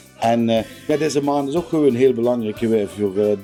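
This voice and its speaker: With music in the background, a man speaks at a moderate pace and medium pitch, using ordinary pitch variation. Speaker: interviewer, local music streaming project host. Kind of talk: interview questions.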